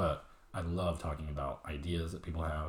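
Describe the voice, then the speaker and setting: Somewhat breathy, a man speaks in a very deep, low voice with monotone, flat intonation. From Mexico. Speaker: small business owner. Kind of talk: casual chat.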